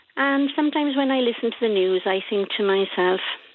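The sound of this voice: A woman talks at a fairly quick pace with a fairly high pitch and ordinary pitch variation. The sound is dry and close, with no echo.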